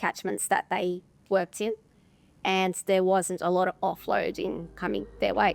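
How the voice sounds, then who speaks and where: In a dry, close sound with no echo and music behind her, a woman with an Australian accent speaks at a fairly slow pace. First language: Russian. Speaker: insolvency professional. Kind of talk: interview testimonial.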